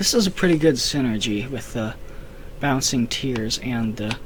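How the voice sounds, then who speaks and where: A man at a medium pitch, speaking at a fairly slow pace with long, frequent pauses, audible room echo and noticeable background noise. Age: 18. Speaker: gaming youtuber. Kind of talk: casual commentary. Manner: halting.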